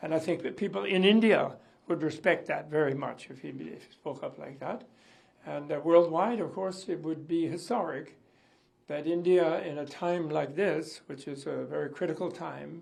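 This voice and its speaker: A man speaks at a fairly high pitch and moderate pace, with vocal fry and ordinary pitch variation. His loudness swings widely. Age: 80s+. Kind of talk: interview reaction.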